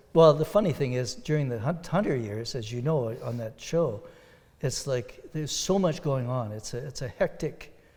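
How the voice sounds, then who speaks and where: Somewhat breathy, a man with a Canadian accent speaks at a moderate pace and a medium pitch with lively intonation. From Ontario, Sault Ste. Marie area. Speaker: country and bluegrass musician. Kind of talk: interview.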